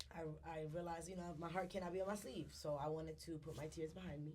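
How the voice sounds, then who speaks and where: Speaking very fast with fairly even intonation, a woman with a very deep, low voice is heard through noticeable background noise and audible room echo. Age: 20s. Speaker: content creator and entrepreneur. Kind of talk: casual chat. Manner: halting.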